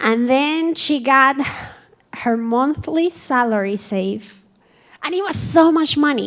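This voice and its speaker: Speaking with a Colombian accent, a woman with a high pitch moves at a very slow pace, using lively intonation and long, frequent pauses. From Colombia, Cali. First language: Spanish. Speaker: community speaker. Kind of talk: personal testimony talk. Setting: museum event with audience.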